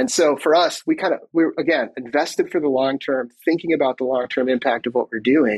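In a dry, close sound with no echo, a man with an unremarkable speaking voice talks at a fairly quick pace, fairly high in pitch, with ordinary pitch variation. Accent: American. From Michigan. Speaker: tech executive. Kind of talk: interview.

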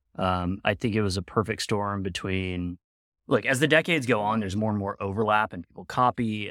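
In a normal speaking voice, a man talks at a fairly quick pace and fairly low pitch, with ordinary pitch variation and big swings in loudness, on a very clean recording with a silent background and a dry, close sound with no echo. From California, Sacramento. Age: 40s. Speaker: interviewee, doctor. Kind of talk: casual interview. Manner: articulate.

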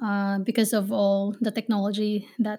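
Somewhat breathy, a woman speaks at a fairly slow pace with monotone, flat intonation. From Philippines, Manila. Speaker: virtual assistant business owner and podcast host. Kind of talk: interview. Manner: halting with many fillers.

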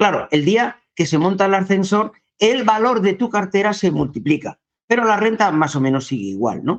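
Lively intonation from a man with a high pitch. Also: moderate pace, very even loudness. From Salamanca, Spain. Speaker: real estate investor. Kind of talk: interview. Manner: hesitant, many fillers.

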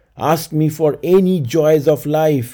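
The voice has a dark, mellow tone and an Indian accent. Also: man. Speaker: podcast storyteller. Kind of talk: dramatic storytelling narration, with scripted dialogue read in character voices. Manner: solemn, measured, theatrical delivery; emphatic, grave tone for the dialogue.

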